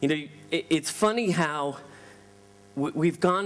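A man with an American accent, a high pitch and lively intonation. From US West Coast, Los Angeles. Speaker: tech company founder, keynote speaker; keynote speaker. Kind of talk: conference keynote. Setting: stage with audience. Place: hall.

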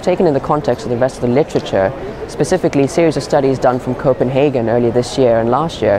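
A man speaks very fast with ordinary pitch variation, in a dry sound with no echo, over noticeable background noise. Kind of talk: interview answer. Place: hall.

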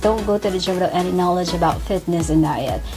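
Clear music sounds behind the voice. The speaker is a woman. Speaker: fitness vlogger. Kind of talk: casual vlog chat. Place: home room.

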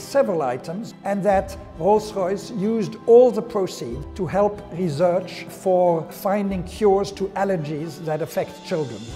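Speech at a moderate pace with ordinary pitch variation, clear music in the background. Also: man. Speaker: auctioneer. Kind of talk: interview answer. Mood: calm, reflective, warm. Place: hall. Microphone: lapel.

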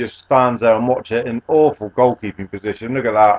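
With a British accent, a man talks at a fairly quick pace in a medium pitch and fairly even intonation, the sound dry and close with no echo. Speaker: gaming YouTuber. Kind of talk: sports commentary over video game highlights.

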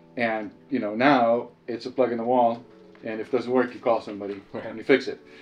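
A man speaks in a monotone with flat intonation. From Israel. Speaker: manufacturing software services executive. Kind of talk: casual conversation. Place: meeting room. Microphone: camera far.

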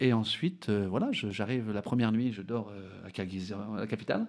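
Against a quiet background, the speaker moves at a fairly quick pace with ordinary pitch variation. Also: man. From French Basque Country (Bidart); French Basque Country. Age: 40s. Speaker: adventurer and explorer; interview guest. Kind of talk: radio interview. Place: studio. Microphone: studio mic.

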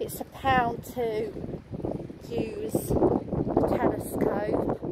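A woman speaks very slowly in a fairly high voice with a dark, mellow tone and vocal fry. Her pitch swings widely over faint background noise.

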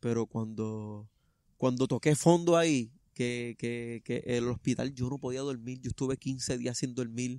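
A man talks at a moderate pace, with a dry sound, no echo, and a quiet background. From Puerto Rico. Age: 30s. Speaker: runner and truck driver; interviewee. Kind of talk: interview testimony; interview answer. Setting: outdoors in a park. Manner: halting. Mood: earnest, reflective. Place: garden.

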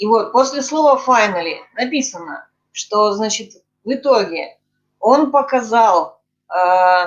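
A woman speaks at a fairly high pitch. The background is quiet. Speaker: discussion group participant. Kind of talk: academic discussion. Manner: formal. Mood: inquisitive, thoughtful. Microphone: video call.

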